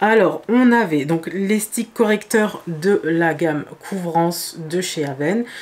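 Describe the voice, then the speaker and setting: Fairly low female voice with ordinary pitch variation over noticeable background noise. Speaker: beauty youtuber. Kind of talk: makeup tutorial. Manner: hesitant, many fillers.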